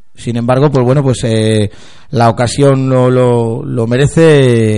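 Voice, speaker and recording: This man speaks at a medium pitch with fairly even intonation and a dark, mellow tone. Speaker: football podcast host. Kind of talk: casual chat.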